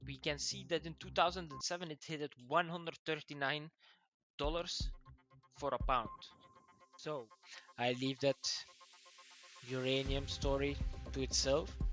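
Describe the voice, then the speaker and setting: A man with a non-native accent speaks at a moderate pace over music in the background. His loudness swings widely, and his pauses are long and frequent. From Belgium. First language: not English. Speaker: finance news youtuber. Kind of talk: casual news commentary. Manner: animated; halting, self-correcting.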